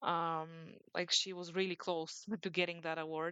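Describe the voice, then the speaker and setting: A woman talks with a Bulgarian accent at a fairly low pitch. Her intonation is monotone and flat. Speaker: sports journalist, podcast co-host. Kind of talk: casual podcast discussion. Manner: hesitant, many fillers.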